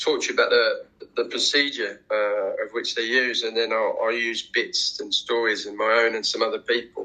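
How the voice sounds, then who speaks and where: A man talks with a London accent. His pace is moderate. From England, Watford near London. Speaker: war veteran, former prisoner of war. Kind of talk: interview testimony. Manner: halting, many fillers and repeated words.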